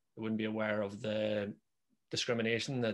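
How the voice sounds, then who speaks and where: Fairly quick and monotone, a man with a Belfast accent speaks in a fairly low voice with flat intonation. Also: quiet background. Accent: Northern Irish, Belfast. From Northern Ireland. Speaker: podcast host. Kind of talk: interview. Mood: earnest, measured. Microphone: video call.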